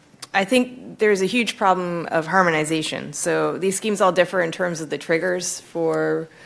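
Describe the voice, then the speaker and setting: A woman with an American accent talks in an ordinary speaking voice at a fairly low pitch, keeping a moderate pace with hardly any pauses and ordinary pitch variation. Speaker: economist, panel speaker. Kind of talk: conference panel discussion.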